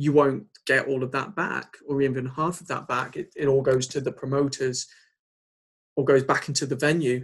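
Somewhat breathy and with an English accent, a man speaks at a fairly high pitch and a moderate pace, his intonation fairly even but his loudness swinging widely. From England. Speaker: podcast host and band drummer. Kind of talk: casual interview.

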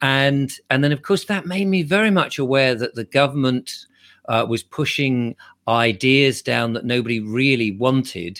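With an English accent, a man of medium pitch talks at a moderate pace with lively intonation, recorded very cleanly against a silent background with a dry, close sound and no echo. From England. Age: 60s. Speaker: YouTuber and commentator. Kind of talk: interview.

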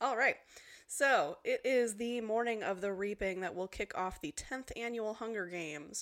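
A woman with a plain, everyday voice, fairly high in pitch with ordinary variation, at a moderate pace. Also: very clean recording, silent background. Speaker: podcast co-host. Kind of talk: casual chat over drinks, book discussion. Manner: bubbly, joking.

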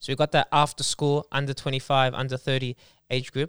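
On a very clean recording with a silent background and a dry, close sound with no echo, a man with an Australian accent and a fairly high pitch speaks at a very fast pace in a flat monotone. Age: 20s. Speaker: podcast host. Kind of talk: casual chat.

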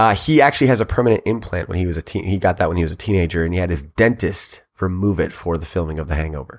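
Very deep and low, a man's voice races at a very fast pace with lively intonation on a very clean recording with a silent background. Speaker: podcast host. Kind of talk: casual chat.

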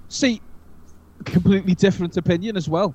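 This is a man speaking with a Liverpool accent. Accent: Scouse. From northern England, Liverpool. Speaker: podcast host. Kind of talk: casual chat.

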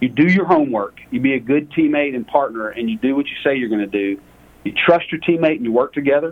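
A man with a Southern accent and fairly high pitch, at a very fast pace. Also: lively intonation. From US South, Lake Charles, Louisiana. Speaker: energy fund portfolio manager. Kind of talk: interview.

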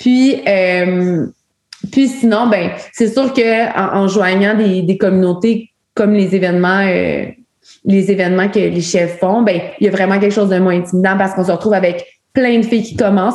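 This is a woman with a normal speaking voice, medium in pitch. She talks at a moderate pace with ordinary pitch variation. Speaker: outdoor women's community director. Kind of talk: casual chat.

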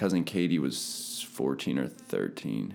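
Over background music, a man with an American accent speaks at a fairly slow pace with lively intonation. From Pennsylvania (Palmyra). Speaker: personal trainer. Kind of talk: testimony.

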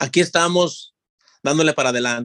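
Recorded with a dry, close sound and no echo, a man talks with fairly even intonation. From Guanajuato, Mexico. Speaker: undocumented immigrant. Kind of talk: interview testimony. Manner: halting.

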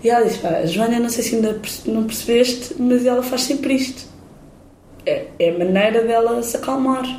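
A woman's high-pitched voice with ordinary pitch variation, noticeable background noise and audible room echo. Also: moderate pace. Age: 30s. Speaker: singer-songwriter and filmmaker. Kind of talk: interview.

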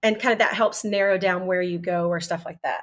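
A woman with an American accent uses a normal speaking voice at a moderate pace, with ordinary pitch variation. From Texas. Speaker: missionary. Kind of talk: casual interview. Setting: video call.

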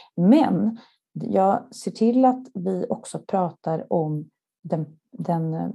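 A woman in a very clean recording against a silent background. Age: 40s. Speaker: marketing executive. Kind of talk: interview.

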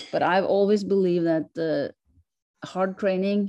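A woman with a Norwegian accent, dark and mellow in tone, against a quiet background. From Norway. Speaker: sled dog racer, world champion. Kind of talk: interview.

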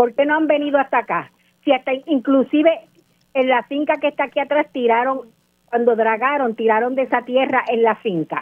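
Her pitch is high, with ordinary variation. The woman speaks at a moderate pace. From Puerto Rico, Guánica. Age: 60s. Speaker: local resident. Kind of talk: radio interview. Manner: impassioned.

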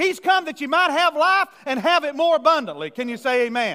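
In a raised, projected voice, a man speaks at a moderate pace with a bright, sharp tone that sounds animated. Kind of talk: preacher's sermon to a live congregation, teaching from scripture with call-and-response. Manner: animated, rhythmic, pulpit cadence, builds on repeated phrases and asks for amens.

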